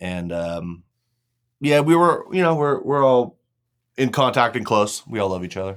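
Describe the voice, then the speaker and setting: Against a very clean recording with a silent background, a man with an American accent speaks at a moderate pace and a medium pitch, swinging very widely in pitch and leaving long, frequent pauses. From California. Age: 40s. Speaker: crypto artist. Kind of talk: casual interview.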